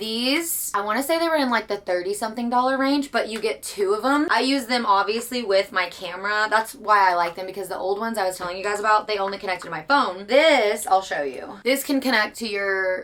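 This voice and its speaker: Animated female speech with a fairly high pitch and ordinary pitch variation, delivered at a fairly quick pace with hardly any pauses over noticeable background noise. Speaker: book vlogger. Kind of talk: casual chat. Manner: loud.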